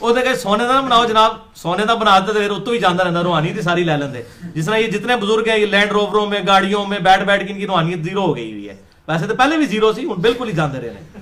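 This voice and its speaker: A man talks with a high pitch. Noticeable background noise sits behind him. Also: ordinary pitch variation. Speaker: Islamic preacher giving a lecture. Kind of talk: Islamic sermon / religious lecture in Urdu-Punjabi mix. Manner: lecturing, conversational, storytelling with asides.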